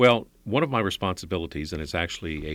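A man with an American accent, very fast and with lively intonation, plus vocal fry. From Northern Virginia, Alexandria. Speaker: county government executive. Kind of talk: interview.

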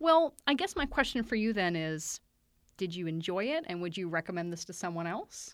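Using a plain, everyday voice, a woman speaks at medium pitch and a moderate pace with lively intonation. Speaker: librarian podcast host. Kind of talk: casual book discussion.

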